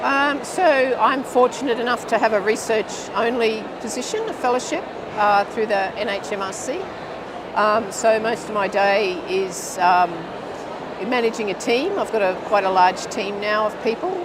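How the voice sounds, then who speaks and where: An Australian accent at a moderate pace, with ordinary pitch variation, audible room echo and noticeable background noise. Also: woman, fairly high pitch for a woman. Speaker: physiotherapy researcher, professor. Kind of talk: interview. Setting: conference studio.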